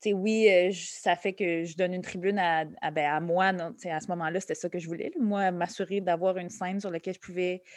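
This woman's voice sits at a medium pitch. Her intonation stays monotone and flat. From Quebec, Montreal and Laval. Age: 30s. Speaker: comedian. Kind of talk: interview conversation. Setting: podcast interview.

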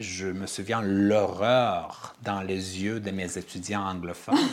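A man with an Armenian accent at a fairly low pitch and a very slow pace. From Armenian family, raised in five countries incl. Uzbekistan. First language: Armenian (speaking French). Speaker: theatre director and playwright. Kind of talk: interview. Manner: halting.

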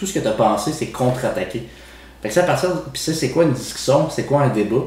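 The intonation is lively. Audible room echo and noticeable background noise fill the recording. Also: man. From Quebec City, Quebec. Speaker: podcast co-host. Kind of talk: casual chat.

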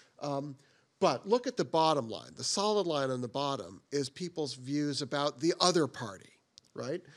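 A normal speaking voice from a man, fairly high in pitch with lively intonation, at a moderate pace over a quiet background. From US Northeast, Boston area. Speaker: political science professor. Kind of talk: lecture.

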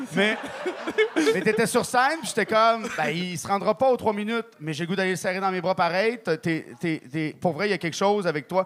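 A man with a high pitch speaks fairly quickly while background noise is noticeable. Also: ordinary pitch variation. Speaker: guest judge, comedian. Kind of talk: casual chat. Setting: stage with audience.

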